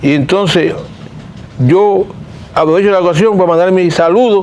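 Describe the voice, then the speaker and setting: Pitch varies in an ordinary way as the speaker keeps a moderate pace. The room echo is audible, and the background noise is noticeable. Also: man. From Cuba. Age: 70s. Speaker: political dissident. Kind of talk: interview.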